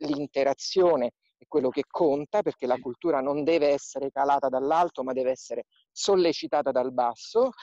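Here a man has an unremarkable speaking voice at a moderate pace. The sound is dry and close with no echo. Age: 40s. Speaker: museum director and archaeologist. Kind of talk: interview via video live stream.

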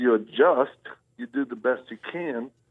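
A man speaks with a Southern US accent. His pitch is medium, with ordinary variation. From US South (Louisiana, Mississippi, Texas). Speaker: ministry founder and Marine veteran. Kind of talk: interview testimony.

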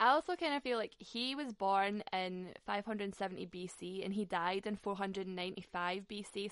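A woman speaks at a medium pitch in a Scottish accent. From Scotland. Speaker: podcast host. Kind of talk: casual interview chat. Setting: video or phone call.

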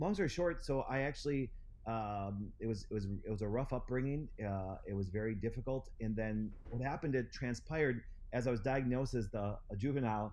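Audible room echo surrounds a man with an American accent. His pace is fairly quick. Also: medium pitch for a man, ordinary pitch variation. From Wisconsin. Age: 40s. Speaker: chiropractor and clinic founder. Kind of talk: interview.

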